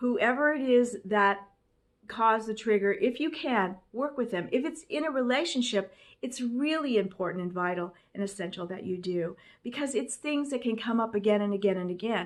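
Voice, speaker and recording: A woman with a normal speaking voice, fairly high-pitched, with lively intonation and a moderate pace, in a very clean recording with a silent background. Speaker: life coach. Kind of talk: motivational talk. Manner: casual.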